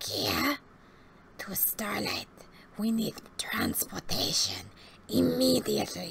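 A woman puts on a raspy character voice, talking at a fairly slow pace with long, frequent pauses. Light background noise sits behind her. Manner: gruff, curt, stern.

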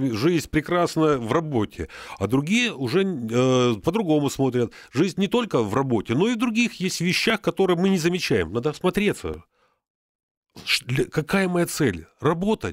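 A man speaks at a moderate pace and fairly high pitch, his pitch swinging very widely while his loudness stays very even. The sound is dry with no echo, and the background is quiet. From Luhansk region, eastern Ukraine. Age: 60s. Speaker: retired military psychiatrist; radio guest. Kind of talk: radio interview. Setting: radio studio. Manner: hesitant, many filler sounds. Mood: animated, friendly. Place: studio. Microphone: studio mic.

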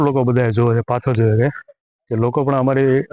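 A man with an ordinary speaking voice and medium pitch talks with fairly even intonation, the sound dry and close with no echo. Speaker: travel vlogger. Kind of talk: casual vlog narration.

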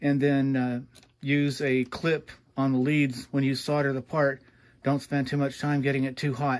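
A man at a moderate pace. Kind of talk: tutorial. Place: workshop.

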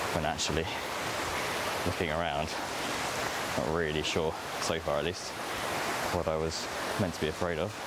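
A man speaks with long, frequent pauses over loud background noise, the sound dry with no echo. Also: moderate pace. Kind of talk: casual vlog chat. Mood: relaxed, reflective. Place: forest. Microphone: camera far.

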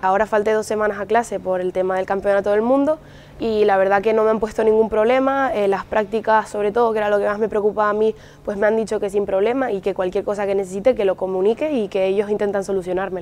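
With fairly even intonation, a woman talks at a very fast pace. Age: 18. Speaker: university student and lifesaving athlete. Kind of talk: interview testimony. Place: hall. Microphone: lapel.

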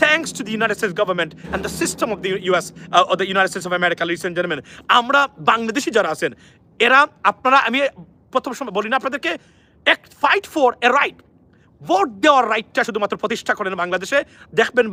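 A man's high-pitched, raised, projected voice carries an animated tone, lively intonation and a bright, sharp edge. The sound is dry and close, with no echo. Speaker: news commentator. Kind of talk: live news commentary. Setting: outdoors.

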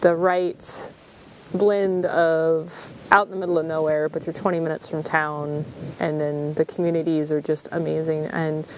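Over light background noise, a woman with a very deep, low voice speaks at a moderate pace in a monotone, flat delivery. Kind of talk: interview answer. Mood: reflective, earnest. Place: forest.

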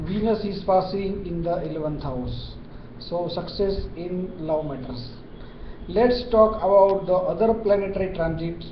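There is audible room echo and light background noise as a man speaks fairly slowly, at a high pitch with ordinary pitch variation. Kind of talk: horoscope forecast talk. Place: office. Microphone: webcam.

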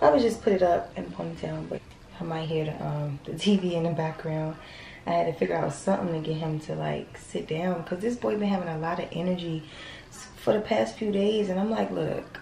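In a room with audible echo and light background noise, a woman talks at a fairly quick pace in a fairly low pitch. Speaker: expectant mother vlogger. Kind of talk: casual vlog chat. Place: bathroom. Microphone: phone near.

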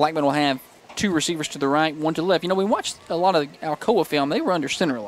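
A man with an American accent talks at a very fast pace with ordinary pitch variation, in a dry sound with no echo and light background noise. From US South. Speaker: play-by-play radio announcer. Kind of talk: live commentary. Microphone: headset.

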